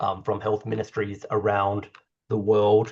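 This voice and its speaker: A man, somewhat breathy. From Australia. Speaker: doctor and climate-health strategist. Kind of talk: online meeting presentation. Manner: casual, conversational.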